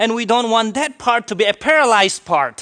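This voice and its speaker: This man's raised, projected voice sits at an extremely high pitch with ordinary variation. His tone is bright and sharp, and his pace moderate. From India. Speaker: pastor. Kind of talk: sermon.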